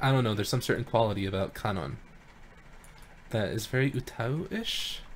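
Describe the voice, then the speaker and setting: The speaker has an American accent and talks at a fairly quick pace broken by long, frequent pauses. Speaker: vocaloid tuner streamer. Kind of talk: casual live stream chat. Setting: live stream. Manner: casual with many fillers.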